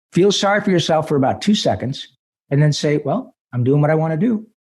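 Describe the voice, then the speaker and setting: With lively intonation, a man in an unremarkable speaking voice talks at a fairly high pitch. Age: 60s. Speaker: voice actor. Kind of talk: interview answer.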